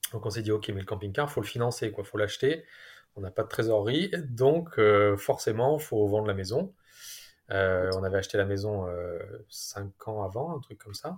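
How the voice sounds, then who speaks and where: On a very clean recording with a silent background, a man with a fairly low, somewhat breathy voice talks at a moderate pace with ordinary pitch variation and big swings in loudness. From southern France. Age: 40s. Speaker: family traveller. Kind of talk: casual interview. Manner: hesitant, many fillers.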